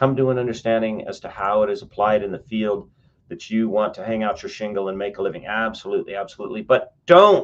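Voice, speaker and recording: A man talks at a very fast pace with an American accent. His loudness swings widely. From western US. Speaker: professor. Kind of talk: lecture, reviewing student writing aloud. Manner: halting, frequent self-corrections.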